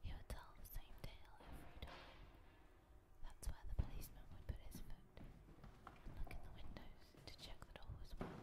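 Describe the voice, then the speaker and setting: The speaker is whispering. The pace is moderate. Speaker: art student. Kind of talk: personal memoir narration. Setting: outdoors. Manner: soft-spoken.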